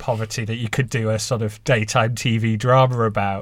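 A somewhat breathy man keeps his intonation fairly even. The recording is very clean, with a silent background. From Halifax, northern England. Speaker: journalist and author. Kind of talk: interview answers.

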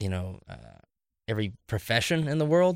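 A man with an American accent at a fairly quick pace, dry and close with no echo, on a very clean recording with a silent background. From US Midwest, Columbus, Ohio area. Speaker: podcast guest. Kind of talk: casual debate.

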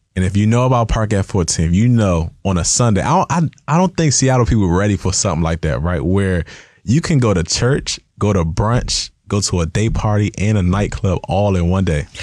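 Lively intonation marks a man's fairly low-pitched voice with an American accent, its loudness very even on a very clean recording with a silent background. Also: hardly any pauses. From Washington DC / Maryland area. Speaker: athlete marketing agent. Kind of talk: interview. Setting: studio.

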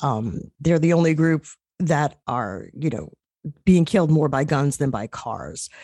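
In an American accent, the voice carries a dark, mellow tone and lively intonation. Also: woman, dry, close sound with no echo, quiet background. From New York. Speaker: journalist. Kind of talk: radio interview.

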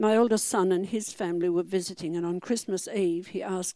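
A woman's dark, mellow voice at medium pitch with an Australian accent and ordinary pitch variation, on a very clean recording with a silent background. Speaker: church member being baptized. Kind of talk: testimony. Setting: church.

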